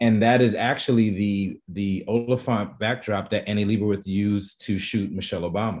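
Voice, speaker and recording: Speaking fairly quickly with a New York accent, a man uses a fairly low pitch and fairly even intonation against a quiet background. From New York, the Bronx. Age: 40s. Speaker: photographer. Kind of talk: interview. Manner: halting.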